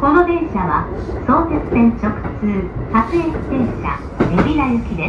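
A woman is speaking. Loud background noise runs underneath her. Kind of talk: onboard announcement. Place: train. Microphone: pa.

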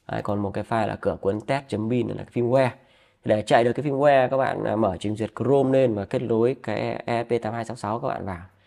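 A man speaks at a very fast pace in a dark, mellow tone. His pitch is medium, with ordinary variation. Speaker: DIY electronics YouTuber. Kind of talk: tutorial. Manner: halting, many fillers.

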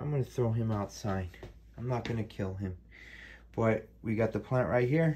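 A man at a moderate pace, dark and mellow in tone, somewhat breathy, with ordinary pitch variation and light background noise. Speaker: home herbal tea demonstrator. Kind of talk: casual tutorial. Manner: halting, repetitive. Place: kitchen. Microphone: phone near.

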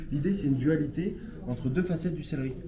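Ordinary pitch variation over noticeable background noise. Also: man. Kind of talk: dish presentation to diners. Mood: polite, warm. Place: cafe. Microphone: phone near.

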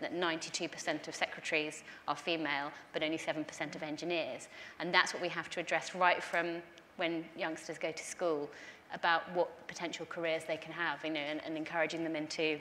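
A woman speaks at a moderate pace in a fairly low pitch, her intonation flat and monotone, with light background noise. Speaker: guest, politician. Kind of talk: panel discussion answer. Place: stage.

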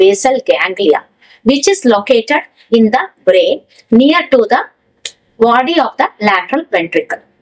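A woman speaks at a moderate pace with a high pitch. Her pitch swings very widely against a quiet background. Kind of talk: lecture. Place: studio.

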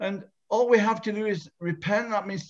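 Over a quiet background, a man speaks at a high pitch and a moderate pace. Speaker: evangelist host. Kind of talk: evangelistic meeting hosting. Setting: video call. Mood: earnest, persuasive. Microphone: video call.

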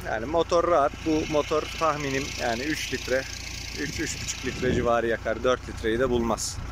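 A man at a fairly slow pace with ordinary pitch variation, dry sound with no echo and loud background noise. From Turkey, Afyon province; Turkey. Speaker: generator seller. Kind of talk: product demonstration vlog. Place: farm machine. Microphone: phone near.

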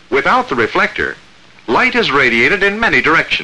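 Moving through very wide pitch swings, a man speaks at a moderate pace. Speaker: film narrator. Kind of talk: 1947 military training film narration, scripted. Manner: formal, measured, authoritative; clipped, even, crisply enunciated. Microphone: old recording.

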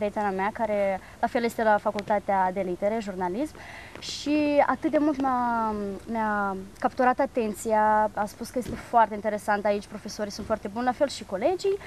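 In a normal speaking voice, a woman talks at fairly high pitch and a moderate pace with ordinary pitch variation over light background noise. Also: dry sound with no echo. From Moldova. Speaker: university student; interviewee. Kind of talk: TV interview. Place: garden.

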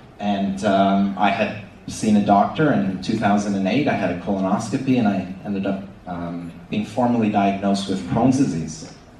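A man with a Canadian accent speaks at a moderate pace and a fairly low pitch, with ordinary pitch variation. Room echo is audible, and there is light background noise. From Canada. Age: 30s. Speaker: ostomy patient speaker. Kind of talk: conference presentation. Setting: stage with audience. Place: hall.

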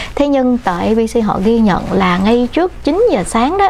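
A woman talks at a fairly slow pace. Light background noise sits behind her. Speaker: news co-anchor. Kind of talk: news commentary. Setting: studio. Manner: halting with frequent fillers. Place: studio.

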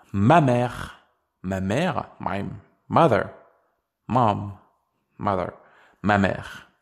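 A man with a fairly low pitch and lively intonation, very slow, with long, frequent pauses. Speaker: language teacher. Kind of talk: tutorial; scripted narration.

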